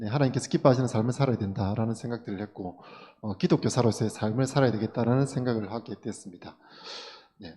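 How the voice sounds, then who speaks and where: A man speaks very fast in a dark, mellow, somewhat breathy voice of medium pitch. His loudness swings widely, while his pitch varies in an ordinary way. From South Gyeongsang, Korea (Tongyeong). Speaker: schoolteacher. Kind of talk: seminar talk. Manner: many fillers, conversational.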